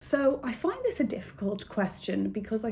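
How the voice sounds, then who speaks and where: A woman's voice, somewhat breathy and fairly high in pitch. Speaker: booktuber. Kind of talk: casual vlog chat. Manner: fast.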